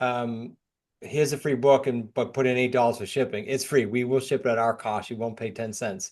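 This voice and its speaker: In a New England accent, a man at medium pitch speaks at a fairly quick pace with fairly even intonation against a quiet background. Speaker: real estate coach and author. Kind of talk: interview.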